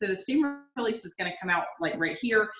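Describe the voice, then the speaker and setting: Audible room echo colors a woman's voice. Her pitch varies in an ordinary way. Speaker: direct sales cooking consultant. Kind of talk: product demonstration. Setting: video call. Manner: casual, with many fillers. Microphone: video call.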